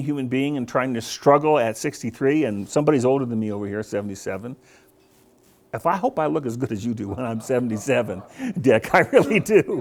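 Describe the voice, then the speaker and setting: A man speaks at a fairly quick pace. His medium pitch carries lively intonation. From US West, Colorado. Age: 60s. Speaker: business coach. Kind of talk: speech to business audience. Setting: breakfast meeting with live audience. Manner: hesitant, many fillers.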